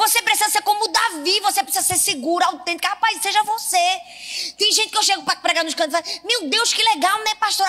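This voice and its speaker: In a northeastern Brazilian accent, a woman speaks in a raised, projected voice at an extremely high pitch. Her tone is bright and sharp, with ordinary pitch variation and a fairly quick pace. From Northeast Brazil. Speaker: pastor. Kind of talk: sermon. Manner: animated.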